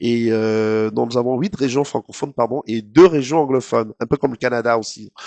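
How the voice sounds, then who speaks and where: A man's dark, mellow voice at a medium pitch, with ordinary pitch variation, a moderate pace and a dry, close sound with no echo. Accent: slight Cameroonian. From Cameroon, Douala. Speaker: TV presenter. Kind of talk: interview. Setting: studio. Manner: hesitant, many fillers.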